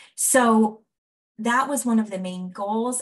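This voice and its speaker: A woman's fairly high-pitched, normal speaking voice with ordinary pitch variation. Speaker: evaluation researcher presenting findings. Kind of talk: presentation of findings in a video meeting.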